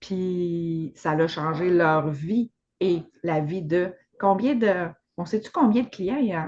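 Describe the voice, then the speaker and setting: A very slow delivery with a Quebec accent and ordinary pitch variation. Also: woman, fairly low pitch for a woman. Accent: Québécois French. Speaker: podcast host. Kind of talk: casual chat.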